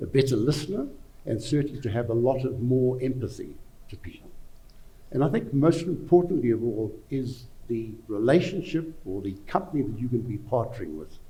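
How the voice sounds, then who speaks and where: At a fairly quick pace, a man with a medium pitch, a dark, mellow tone, vocal fry and lively intonation talks with big swings in loudness and audible room echo. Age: 70s. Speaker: financial adviser. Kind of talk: panel discussion. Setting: conference stage with audience.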